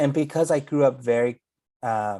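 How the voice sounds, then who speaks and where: A man with a Spanish accent speaks at a fairly slow pace. His fairly high voice has a dark, mellow tone. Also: very clean recording, silent background. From California Central Valley (Salvadoran immigrant). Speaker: pastor and theologian. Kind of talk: casual conversation.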